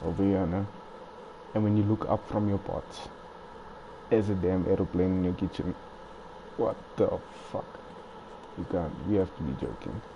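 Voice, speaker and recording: Soft-spoken delivery at a moderate pace, fairly even in intonation, broken by long, frequent pauses. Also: man, fairly low pitch for a man. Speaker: gaming streamer. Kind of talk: live gameplay commentary. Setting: at home at night. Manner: casual.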